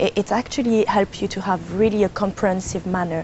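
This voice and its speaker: A woman with a French accent, medium pitch and ordinary pitch variation at a fairly quick pace. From France, Cambodian parents. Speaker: climate change consultant and professor. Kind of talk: TV interview. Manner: hesitant, with fillers.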